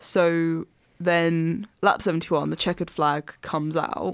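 The speech comes in an Essex accent. It moves at a fairly slow pace with fairly even intonation. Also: woman. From Essex, England. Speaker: podcast co-host. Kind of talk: casual chat.

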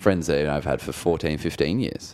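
On a very clean recording with a silent background, a man speaks with vocal fry. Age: 20s. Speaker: podcast co-host. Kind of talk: casual chat.

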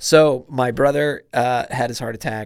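A man with a Midwestern American accent and fairly even intonation. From Indiana. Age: 30s. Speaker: marathon runner and heart surgery survivor. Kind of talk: casual chat. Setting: studio.

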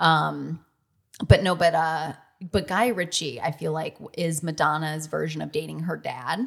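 A woman with an American accent and a very deep, low pitch speaks at a fairly slow pace with vocal fry. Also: ordinary pitch variation. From US Midwest, Michigan. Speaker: music superfan. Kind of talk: casual chat.

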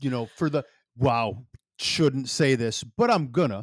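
A man with an Upper Midwest accent speaks at a medium pitch and fairly slow pace. The sound is dry and close, with no echo. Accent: Upper Midwest American. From northern Wisconsin, US Midwest. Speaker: podcast co-host, digital marketer. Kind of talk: casual chat. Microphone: new mic setup.

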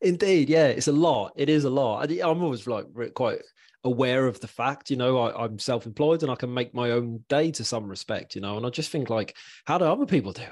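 A man's voice in an English accent, medium in pitch, at a fairly quick pace, with ordinary pitch variation against a quiet background. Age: 40s. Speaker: mental health podcast host. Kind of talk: casual chat.

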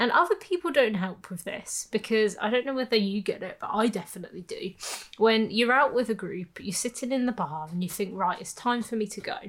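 A woman with a fairly high pitch speaks fairly quickly, her voice somewhat breathy and her intonation lively. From England, Birmingham. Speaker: podcast co-host. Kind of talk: casual chat.

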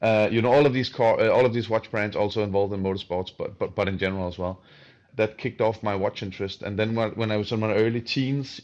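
Over a quiet background, a man with a Danish accent speaks at a fairly low pitch with ordinary variation. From southern Denmark. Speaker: watch company co-founder. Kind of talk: casual interview. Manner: halting, many fillers.

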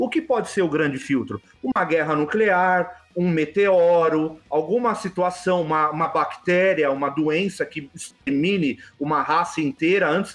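Here a man talks with a high pitch at a moderate pace. His pitch variation is ordinary. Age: 40s. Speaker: UFO enthusiast. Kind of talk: casual chat.

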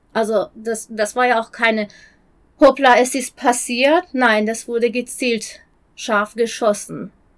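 A woman speaks at a very slow pace. Her fairly high pitch stays fairly even. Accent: Persian. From Iran. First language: Persian (speaking German). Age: 40s. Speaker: human rights activist. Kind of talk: interview. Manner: halting.

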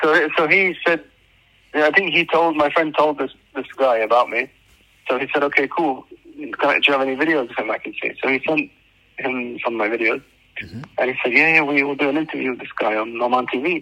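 With a British accent, a man speaks at a fairly quick pace and a fairly high pitch. His tone is bright and sharp, with ordinary pitch variation. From UK, raised in Oman. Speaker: social media influencer. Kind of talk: interview.

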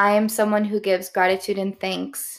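A woman with a Midwestern American accent is heard on a very clean recording with a silent background. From US Midwest. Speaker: podcast host. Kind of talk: solo opinion monologue. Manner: casual, conversational.

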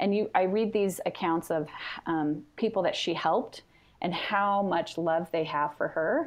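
In an ordinary speaking voice with an American accent, a woman of medium pitch speaks at a fairly slow pace with very even loudness and ordinary pitch variation. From California. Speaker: family history organization social media manager. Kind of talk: interview. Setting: phone call.

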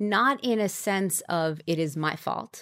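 A woman's normal speaking voice, fairly low in pitch, with an American accent and ordinary pitch variation. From New York. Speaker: brand marketing executive and entrepreneur. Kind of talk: interview. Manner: conversational with frequent fillers.

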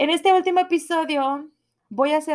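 A woman is heard here. The recording is very clean against a silent background. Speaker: podcaster. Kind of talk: personal monologue. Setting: home recording at computer. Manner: animated.

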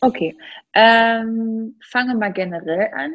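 The woman's pitch is fairly high. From Thuringia, Germany. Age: 30s. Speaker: CrossFit athlete. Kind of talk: casual interview.

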